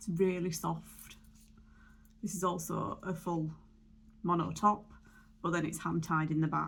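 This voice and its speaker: A woman speaks at a fairly slow pace with a fairly low pitch and vocal fry. Her intonation is fairly even, with long, frequent pauses. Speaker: beauty vlogger. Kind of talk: casual tutorial.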